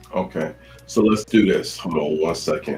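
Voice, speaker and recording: A man with an American accent talks at a moderate pace while music plays behind him. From Chicago South Side. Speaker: talk show host. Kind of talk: live talk show.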